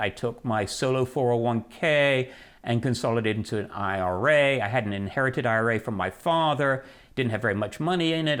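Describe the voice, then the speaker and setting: On a very clean recording with a silent background, a man moves at a fairly quick pace in an unremarkable speaking voice with ordinary pitch variation. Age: 60s. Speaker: personal finance writer. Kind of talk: interview. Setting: recorded interview, seated.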